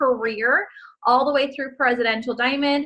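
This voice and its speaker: Raised and projected, a woman's voice sounds bright and sharp at a high pitch. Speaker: network marketing team leader. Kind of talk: motivational training call. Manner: animated.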